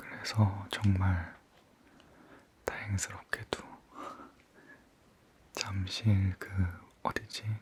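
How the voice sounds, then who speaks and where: Over noticeable background noise, a man speaks at a very slow pace in a fairly low pitch, his tone calm and relaxed, his intonation a flat monotone with long, frequent pauses. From Korea. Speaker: ASMR creator. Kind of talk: casual chat ASMR. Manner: calm, relaxed.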